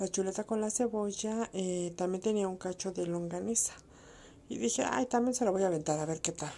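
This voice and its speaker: A woman speaks with a dark, mellow tone. Her pace is moderate and her pitch variation ordinary. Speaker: home vlogger. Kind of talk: casual recipe narration.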